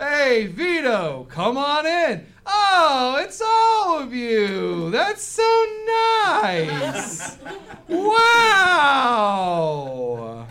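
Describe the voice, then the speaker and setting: This is a put-on character voice with a high pitch. It moves at a very slow pace. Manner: friendly, welcoming.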